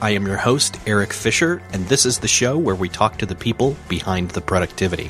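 A man with an American accent at a fairly quick pace, with music in the background. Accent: flat, plain American. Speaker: podcast host.

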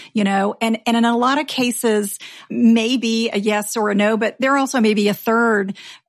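At a moderate pace, a woman speaks in a plain, everyday voice with a fairly high pitch and fairly even intonation. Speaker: personal finance podcast host. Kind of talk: casual chat.

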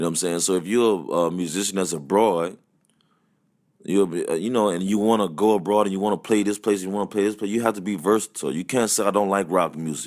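A man with a Louisiana accent speaks at a very fast pace, his pitch fairly low. The recording is very clean with a silent background. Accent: Louisiana Southern US. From Louisiana, US South. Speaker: musician and band leader. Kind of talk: casual interview chat. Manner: animated.

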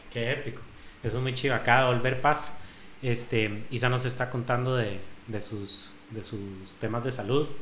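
Here a man speaks with a Costa Rican accent at a medium pitch and fairly even intonation. Audible room echo and noticeable background noise surround him. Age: 30s. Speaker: podcast host, fitness gym owner. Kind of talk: casual chat; sales pitch.

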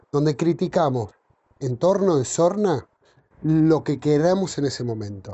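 At a fairly slow pace, a man speaks in a plain, everyday voice with a fairly high pitch. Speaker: murga performer. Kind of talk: interview.

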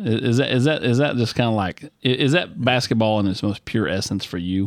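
An ordinary speaking voice with lively intonation at a fairly quick pace. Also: man. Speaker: sports show host. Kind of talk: sports interview show.

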